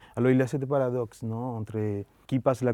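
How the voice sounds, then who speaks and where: A man speaks at a moderate pace in a Spanish accent, his pitch medium and his tone dark and mellow. His intonation is flat and monotone, and the sound is dry and close with no echo. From Colombia. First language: Spanish (speaking French). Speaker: film director. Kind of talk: interview. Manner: halting.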